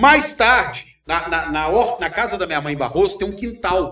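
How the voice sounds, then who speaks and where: At a moderate pace, the man speaks high in pitch with lively intonation. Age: 40s. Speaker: journalist and radio news anchor. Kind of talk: casual interview chat. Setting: studio, live streamed podcast.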